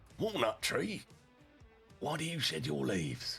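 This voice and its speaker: Over faint music in the background, a man puts on a raspy character voice at a moderate pace. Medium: read story.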